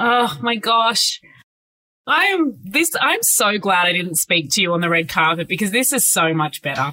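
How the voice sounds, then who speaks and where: This woman's medium-pitched voice has a bright, sharp tone and very wide pitch swings, holding very even loudness at a moderate pace. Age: 30s. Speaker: entertainment podcast host. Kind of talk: casual interview. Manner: animated.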